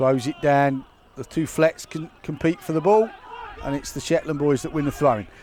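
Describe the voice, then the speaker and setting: A man at a fairly slow pace, fairly high in pitch with ordinary pitch variation, against noticeable background noise. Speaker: football commentator. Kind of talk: live commentary. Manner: loud.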